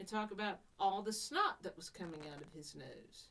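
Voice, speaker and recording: Lively intonation marks this woman's delivery. She has a Southern US accent. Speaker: podcast host. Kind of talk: casual chat.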